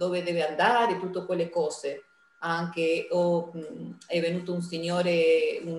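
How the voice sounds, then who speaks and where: Over noticeable background noise, a woman with a fairly low voice speaks at a fairly slow pace. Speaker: community event organizer. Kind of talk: interview.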